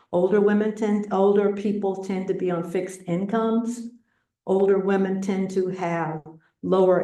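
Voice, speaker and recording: Amid audible room echo, a woman at medium pitch speaks at a fairly slow pace in a dark, mellow tone. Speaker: presenter on county planning data. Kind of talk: presentation with slides. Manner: halting, many fillers.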